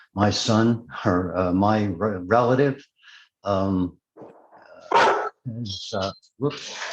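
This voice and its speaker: Speaking at a very slow pace, a man keeps a fairly low pitch and fairly even intonation. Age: 60s. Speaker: retired fighter and sheriff's deputy. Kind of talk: interview. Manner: halting, many fillers.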